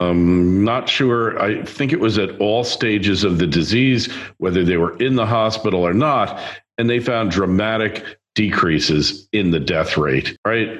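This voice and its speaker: Lively intonation marks a man's fairly low-pitched voice at a fairly slow pace. Audible room echo surrounds it. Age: 60s. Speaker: podcast host. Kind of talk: monologue. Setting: video recording.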